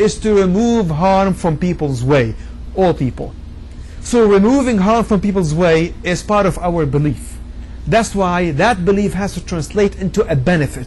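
A man's lively intonation carries through speech delivered at a moderate pace. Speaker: preacher. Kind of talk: sermon. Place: hall. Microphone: lapel.

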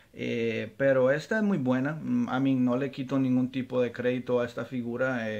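This man speaks fairly slowly, keeping his intonation fairly even. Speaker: toy collector reviewer. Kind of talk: casual product review. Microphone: phone near.

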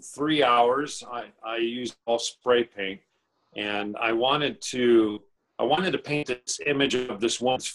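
A man with a Californian accent against a quiet background. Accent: Californian American. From Northern California, Chico. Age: 40s. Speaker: artist. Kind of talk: interview. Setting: video call. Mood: warm, reflective. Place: home room.

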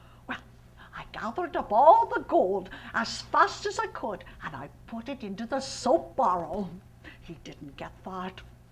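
Over light background noise, a woman puts on a character voice with very wide pitch swings at a moderate pace. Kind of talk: one-woman historical play.

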